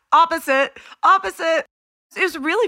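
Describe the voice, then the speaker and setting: A woman talks with an American accent in a bright, sharp tone. The recording is very clean, with a silent background. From Houston, Texas. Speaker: songwriter and record producer. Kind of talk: casual interview chat.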